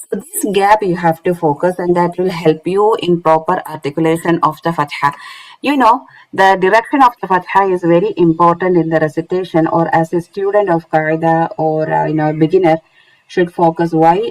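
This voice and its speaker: A woman with a non-native accent speaks at a moderate pace in a fairly low pitch, with ordinary pitch variation and a dry, close sound that has no echo. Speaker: Quran recitation teacher. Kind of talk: online lecture. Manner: halting, many fillers.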